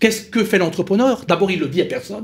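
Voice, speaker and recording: Speaking in an Alsatian accent, the voice moves at a fairly quick pace with ordinary pitch variation. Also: man. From Alsace, France. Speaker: company founder, small business advocate. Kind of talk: round-table panel discussion.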